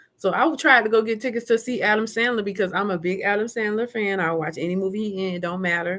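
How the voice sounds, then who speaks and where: Speaking at a very fast pace, a woman has an animated tone and ordinary pitch variation. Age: 50s. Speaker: live streamer. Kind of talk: casual chat. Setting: live stream.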